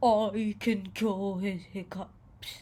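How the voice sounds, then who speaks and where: This is a put-on character voice, female-sounding and at a middle pitch. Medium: read story. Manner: warm, playful.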